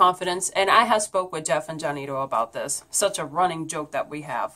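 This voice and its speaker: A woman's bright, sharp voice at a fairly quick pace. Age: 30s. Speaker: YouTuber and pagan priestess. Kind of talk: personal vlog message.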